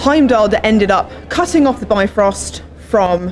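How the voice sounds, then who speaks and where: Against light background noise, a woman speaks at a fairly slow pace with ordinary pitch variation. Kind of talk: interview answer. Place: gym. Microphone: handheld.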